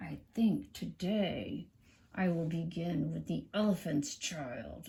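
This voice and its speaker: In a put-on character voice, a man speaks with a high pitch and a raspy sound. His pace is fairly slow. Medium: read story. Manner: sly, coaxing.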